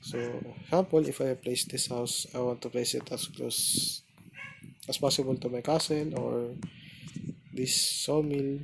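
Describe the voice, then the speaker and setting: Noticeable background noise surrounds a man of medium pitch. He moves at a fairly slow pace, with long, frequent pauses. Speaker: gaming guide narrator. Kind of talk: game tutorial commentary. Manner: hesitant, halting.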